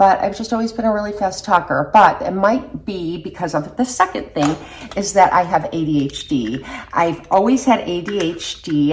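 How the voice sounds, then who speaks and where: A woman's medium-pitched voice at a moderate pace, with lively intonation over noticeable background noise. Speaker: beauty vlogger. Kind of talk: casual chat.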